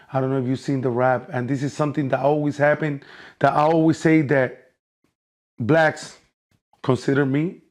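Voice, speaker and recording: Against a quiet background, a man speaks with a Puerto Rican accent at a fairly high pitch. He leaves long, frequent pauses. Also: moderate pace. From Puerto Rico, raised in North Philadelphia. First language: Spanish. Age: 40s. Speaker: celebrity boxer. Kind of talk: casual interview. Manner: animated.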